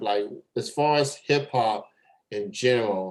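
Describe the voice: A man speaks at a fairly low pitch. His pace is fairly slow, with ordinary pitch variation.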